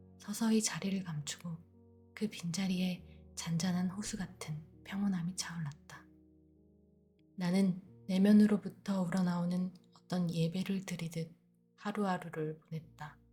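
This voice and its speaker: Over music in the background, a woman speaks at medium pitch in a calm, soothing tone. Her intonation is monotone and flat, and her pace fairly slow. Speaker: audiobook narrator. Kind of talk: sleep audiobook reading.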